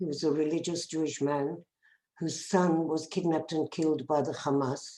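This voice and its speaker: In a South African accent, a woman with a fairly low pitch and a dark, mellow tone speaks at a fairly slow pace. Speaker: bereaved parent activist. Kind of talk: testimony.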